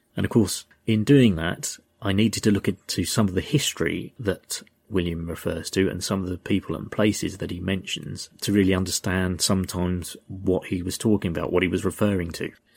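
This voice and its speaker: In a very clean recording with a silent background, a man with a very deep, low pitch talks fairly quickly with fairly even intonation. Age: 50s. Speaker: podcast host. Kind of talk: storytelling narration. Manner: halting.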